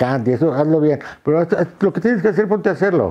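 With a Mexican accent, a man speaks in very wide pitch swings against a quiet background. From Mexico City. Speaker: photographer and visual artist; interviewee. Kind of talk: interview monologue. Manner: hesitant, many fillers and repetitions. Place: home room. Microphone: lapel.

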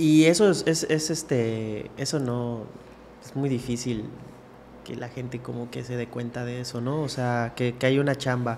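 A man's ordinary speaking voice, fairly slow and fairly even in intonation, over light background noise. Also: medium pitch for a man. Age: 30s. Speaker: podcast host. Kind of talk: casual chat. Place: studio. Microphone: studio mic.

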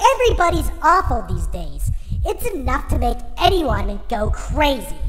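An extremely high-pitched, put-on character voice moves at a moderate pace over loud background noise. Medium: read story. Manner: hesitant, stammering at first, then bitter ranting.

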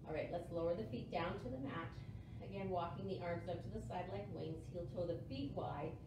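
A woman's voice at a fairly quick pace, with audible room echo and noticeable background noise. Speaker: yoga instructor. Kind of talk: guided core-focused yoga class cueing breath and movement. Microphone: camera far.

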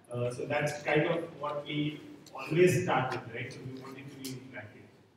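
The speech moves at a moderate pace amid noticeable background noise and strong room echo. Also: man. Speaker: conference speaker. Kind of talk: tech talk. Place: hall.

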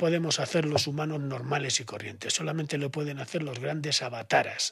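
Man with a Spanish accent and a fairly high pitch. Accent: Spanish (Spain). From Spain. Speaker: esotericism expert; podcast guest. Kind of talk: podcast interview. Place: studio. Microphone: studio mic.

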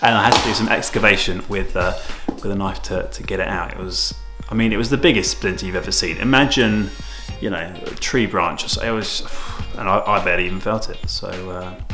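A man speaks fairly quickly while clear music plays behind him. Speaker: tai chi teacher renovating studio. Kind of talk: casual vlog chat. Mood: joking, self-mocking. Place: empty room. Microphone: phone near.

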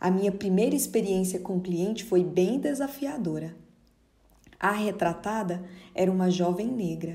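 A woman speaks at a medium pitch with a dark, mellow tone. Her voice is somewhat breathy, and her pitch varies in an ordinary way. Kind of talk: dramatic first-person narration of a life story, theatrical and nostalgic. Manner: slow, expressive, wistful and measured.

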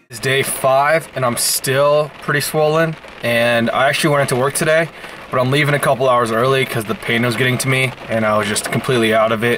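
A man's weary tone, at a fairly quick pace with fairly even intonation, over noticeable background noise. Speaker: vlogger. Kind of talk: casual vlog chat. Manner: swollen-jawed, weary, slightly slurred speech. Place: car. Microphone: phone near.

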